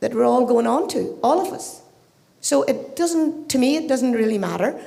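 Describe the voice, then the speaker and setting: Speaking at a moderate pace in an Irish accent, a woman uses a high voice with ordinary pitch variation, while noticeable background noise and audible room echo surround her. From Ireland. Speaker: audience member. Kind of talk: audience question. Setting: live event with audience.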